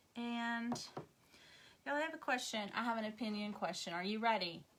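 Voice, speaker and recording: With a Tennessee accent, a woman speaks at a fairly high pitch and moderate pace in a bright, sharp tone with ordinary pitch variation. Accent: Southern US twang, increasingly Tennessee. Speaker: craft demonstrator and seller. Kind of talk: live craft tutorial. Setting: livestream. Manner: soothing; chatty, relaxed.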